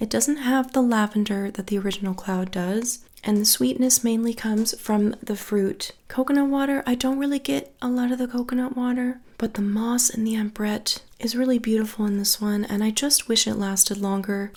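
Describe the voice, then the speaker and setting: A soft-spoken woman with a fairly high pitch speaks at a moderate pace with hardly any pauses. Her loudness is very even and her pitch variation ordinary. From Australia. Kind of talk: soft-spoken fragrance haul review talk to camera. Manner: soft-spoken, relaxing.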